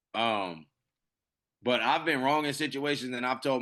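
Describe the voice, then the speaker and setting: Against a quiet background, a man speaks at a moderate pace in an animated tone. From US West Coast, Pasadena, California. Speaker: podcast co-host. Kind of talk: casual chat. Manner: loud.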